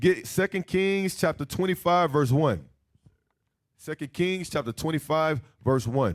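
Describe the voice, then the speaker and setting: A normal speaking voice, delivered at a fairly slow pace with lively intonation. The recording is very clean, with a silent background. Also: man, fairly high pitch for a man, dry, close sound with no echo. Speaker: Bible teacher. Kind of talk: bible class lecture.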